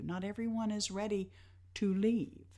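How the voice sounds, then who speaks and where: A woman in a Tennessee accent at a fairly slow pace, on a very clean recording with a silent background. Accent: Southern US (Tennessee). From US South, Nashville, Tennessee. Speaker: nonprofit executive director. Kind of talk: interview. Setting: live recording at a venue.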